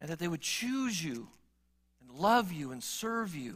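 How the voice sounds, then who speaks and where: The tone is warm and animated. It is also bright and sharp. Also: man. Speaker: preacher. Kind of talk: sermon. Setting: church. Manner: earnest, warm pastoral delivery, repeating phrases and building with rhetorical questions; animated, conversational, moving from plain talk to emphatic exhortation.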